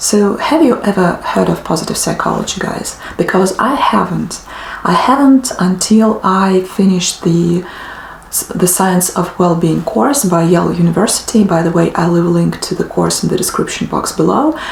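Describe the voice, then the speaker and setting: A woman speaks with lively intonation. Audible room echo and noticeable background noise surround her. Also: medium pitch for a woman, moderate pace. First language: not English (native language differs). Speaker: book vlogger. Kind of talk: casual monologue to camera. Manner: hesitant, many fillers.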